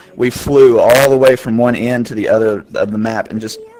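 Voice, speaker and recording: A man speaks in a bored tone. There is noticeable background noise. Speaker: streamer. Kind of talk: Q&A with viewers. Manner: monotone; flat, sounds bored.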